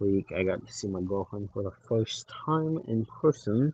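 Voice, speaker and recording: In a dry, close sound with no echo, a man talks at a fairly low pitch and a fairly slow pace. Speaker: livestreamer. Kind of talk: casual chat. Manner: rambling, hesitant.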